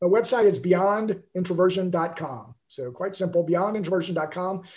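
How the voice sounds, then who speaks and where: At a moderate pace, a man with an American accent speaks in a high pitch for a man with fairly even intonation. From Alabama, US South. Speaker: author. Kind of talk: interview.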